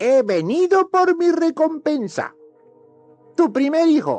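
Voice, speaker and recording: A put-on character voice talks at a fairly slow pace. Faint music plays in the background. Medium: read story. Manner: sly, taunting, laughs malevolently.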